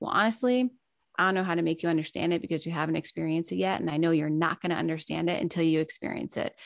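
A woman's plain, everyday voice, fairly low in pitch with ordinary pitch variation. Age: 30s. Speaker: podcaster and new mother. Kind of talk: casual interview.

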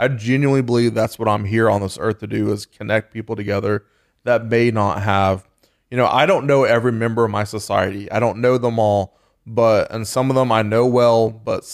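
A man with an American accent speaks at a moderate pace in fairly even intonation, and it is an ordinary speaking voice. The recording is very clean, with a silent background and a dry, close sound with no echo. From Texas, then Baton Rouge, Louisiana from 16. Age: 30s. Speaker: bourbon society founder. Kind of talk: casual chat.

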